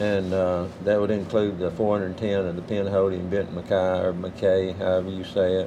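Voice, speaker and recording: A man with a very deep, low pitch speaks at a moderate pace in a monotone, flat intonation over noticeable background noise. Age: 70s. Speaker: long-distance hiker. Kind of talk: casual interview on the trail. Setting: outdoors on a hiking trail. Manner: halting, many fillers.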